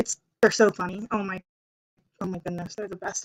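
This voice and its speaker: A woman's voice, dry and close, with no echo at all. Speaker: book youtuber. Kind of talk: casual chat. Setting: livestream. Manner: fast. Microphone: crackly computer audio.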